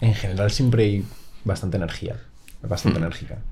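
Somewhat breathy, the man's voice sits at a fairly low pitch. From Spain, Madrid outskirts (Las Matas). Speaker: drummer. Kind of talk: casual chat.

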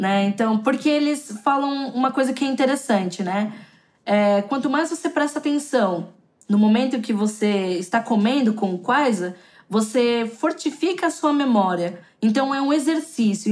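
This woman's loudness stays very even. Her pace is moderate and her intonation lively. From São Paulo, Brazil (south zone). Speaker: Brazilian expat in China, YouTuber. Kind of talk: podcast interview. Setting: remote call.

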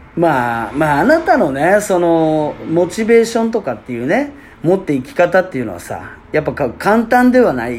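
The speaker talks with hardly any pauses over noticeable background noise. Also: moderate pace. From Fukuoka, Japan. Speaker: podcast host, basketball player. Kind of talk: casual chat. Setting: apparel shop used as studio.

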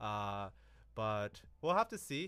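A man's bright, sharp tone at a fairly slow pace. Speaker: podcast co-host. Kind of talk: casual chat.

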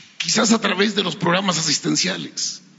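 A moderate pace over noticeable background noise. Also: man. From Mexico, Coahuila (San Pedro de las Colonias). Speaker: journalist. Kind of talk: press conference question.

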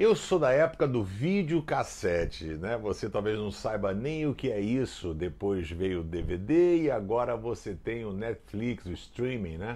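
Dark and mellow, this voice moves at a fairly slow pace with hardly any pauses, its pitch swinging very widely. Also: man, medium pitch for a man. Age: old. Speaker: pastor. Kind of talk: short devotional video message. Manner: conversational.

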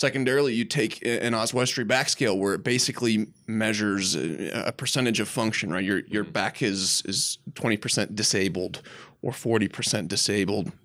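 A man's normal speaking voice, fairly low-pitched, with ordinary pitch variation, very even loudness, hardly any pauses and a moderate pace. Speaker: podcast guest, chiropractor.

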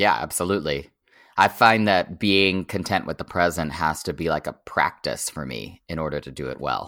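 In an American accent, a man speaks at a moderate pace with a very deep, low pitch, vocal fry and a bright, sharp tone. His pitch varies in an ordinary way, his loudness swings widely, and the recording is very clean with a silent background. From Oklahoma, near the Texas border. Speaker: strategy firm founder, former political digital strategist. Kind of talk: casual interview conversation.

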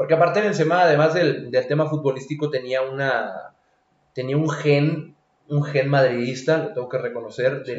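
Somewhat breathy and fairly high in pitch, a man talks at a fairly quick pace with ordinary pitch variation. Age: 20s. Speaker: football pundit. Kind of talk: casual chat.

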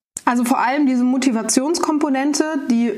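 A woman talks with fairly even intonation at a moderate pace, with audible room echo and noticeable background noise around her. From Baden-Baden, southwest Germany. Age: 20s. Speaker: startup founder, speech therapist. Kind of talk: podcast interview.

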